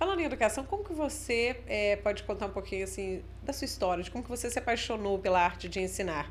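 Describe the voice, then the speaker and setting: Hardly pausing at all, a woman talks very fast. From northern Minas Gerais. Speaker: podcast host, journalist. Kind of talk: podcast interview.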